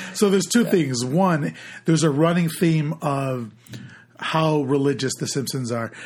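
Here a man speaks at a fairly slow pace with a somewhat breathy, fairly high-pitched voice. His intonation is lively. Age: 30s. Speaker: podcast co-host. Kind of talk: casual chat.

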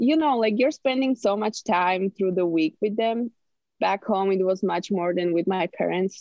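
With a Slovak accent, a woman speaks fairly slowly at a medium pitch, her intonation lively. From Slovakia, Martin. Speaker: college swimmer. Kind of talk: casual interview.

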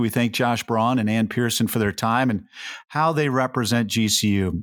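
A man with an unremarkable speaking voice talks at a moderate pace and medium pitch, his intonation fairly even, on a very clean recording with a silent background. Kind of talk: podcast hosting.

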